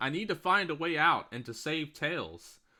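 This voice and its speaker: In a very clean recording with a silent background, a man uses a put-on character voice at a fairly high pitch. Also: moderate pace. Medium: game stream.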